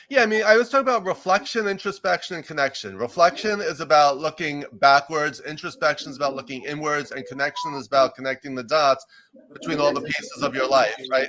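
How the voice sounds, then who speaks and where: A man at a fairly high pitch, very fast pace and lively intonation, with noticeable background noise. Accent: New York. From US, New York. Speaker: executive coach and professor. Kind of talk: interview. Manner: loud and fast.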